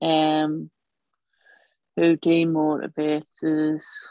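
A woman with a Northern Irish accent, very deep and low in pitch, monotone and flat, at a very slow pace, in a dry, close sound with no echo. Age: 40s. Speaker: cold water swimmer. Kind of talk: casual interview.

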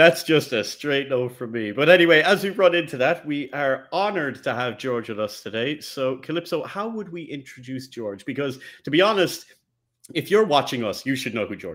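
A man talks in an ordinary speaking voice at a fairly high pitch. His intonation is lively and his pace is moderate. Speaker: podcast co-host. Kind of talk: casual chat.

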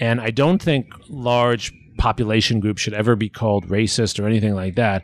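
In a quiet setting, a man with an American accent talks at a moderate pace with medium pitch, ordinary pitch variation and an ordinary speaking voice. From New York City. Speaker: history professor. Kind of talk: interview conversation. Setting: at home.

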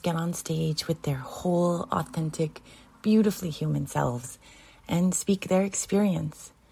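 Somewhat breathy and dark, mellow in tone, a woman speaks at a fairly low pitch and fairly slow pace with ordinary pitch variation. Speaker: show announcer. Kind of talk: scripted intro narration.

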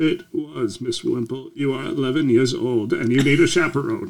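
Using a put-on character voice, a man speaks at a fairly high pitch and a moderate pace with ordinary pitch variation. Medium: actual play. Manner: formal, stiff, proper.

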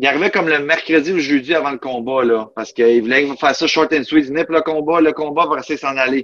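A man with a plain, everyday voice, fairly high in pitch, at a fairly quick pace with ordinary pitch variation. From Quebec, Outaouais (Buckingham). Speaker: mixed martial arts fighter. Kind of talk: interview.

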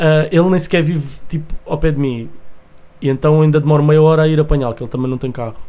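A man rattles along at a very fast pace, his pitch fairly high and his intonation fairly even. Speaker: music producer and rapper. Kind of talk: casual chat.

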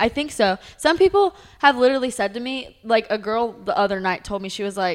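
A woman talks at a fairly quick pace in a fairly high pitch, with lively intonation. It is an unremarkable speaking voice. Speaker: cheerleader. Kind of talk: casual chat.

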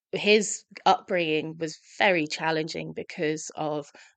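A woman with a London accent and fairly low pitch against a quiet background. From London, England. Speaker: hospitality professional and recovery advocate. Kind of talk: interview conversation.

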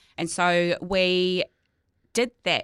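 On a very clean recording with a silent background and a dry, close sound without echo, a woman with a New Zealand accent speaks at a fairly low pitch. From New Zealand, North Island. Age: 30s. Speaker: insurance adviser and business owner. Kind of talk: casual interview.

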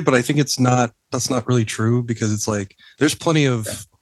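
A man with an American accent talks at a fairly quick pace in a normal speaking voice, with ordinary pitch variation. The sound is dry and close, with no echo. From Texas, US. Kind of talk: casual interview chat.

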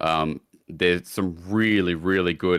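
A man with an Australian accent, very deep and low in pitch, with fairly even intonation at a fairly slow pace, dry and close with no echo on a very clean recording with a silent background. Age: 20s. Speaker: esports shoutcaster. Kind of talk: casual chat.

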